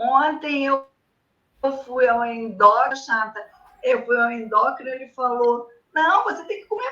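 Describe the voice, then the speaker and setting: A woman raises and projects her high-pitched voice. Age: 60s. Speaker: patient with diabetes. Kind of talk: consultation.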